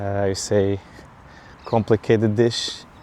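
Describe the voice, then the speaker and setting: Speaking at a fairly slow pace, a man with a Portuguese accent has a dark, mellow tone and a monotone, flat intonation. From Portugal. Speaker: vlogger. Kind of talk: casual vlog monologue. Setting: outdoors, walking in a park. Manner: halting, many fillers.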